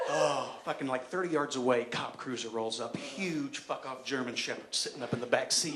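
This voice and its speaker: Speaking at a moderate pace with an American accent, this man has a fairly high pitch and fairly even intonation over noticeable background noise. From Johnson City, Tennessee. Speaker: stand-up comedian. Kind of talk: live stand-up comedy set. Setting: live theatre stage.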